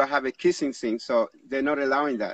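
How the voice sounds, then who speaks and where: A man is speaking. The sound is dry, with no echo. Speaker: livestream host. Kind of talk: casual chat. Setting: live video stream. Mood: relaxed, good-humoured. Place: garden.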